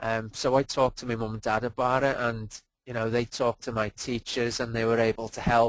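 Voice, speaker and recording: In a Liverpool accent, a man talks at a fairly quick pace with hardly any pauses and monotone, flat intonation, in a dry, close sound with no echo. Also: medium pitch for a man. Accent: Liverpool (Scouse). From Liverpool, England. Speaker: performance coach. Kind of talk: webinar presentation. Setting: online webinar.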